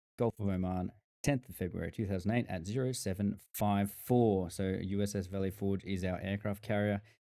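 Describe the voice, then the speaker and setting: A man with an Australian accent speaks at a moderate pace in a fairly low, dark and mellow voice with fairly even intonation. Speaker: gaming YouTuber. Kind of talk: casual gameplay commentary. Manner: halting.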